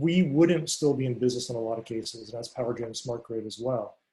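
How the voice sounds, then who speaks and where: A somewhat breathy man's voice at medium pitch. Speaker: technology vendor presenter. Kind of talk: online conference presentation. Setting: video call. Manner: fast.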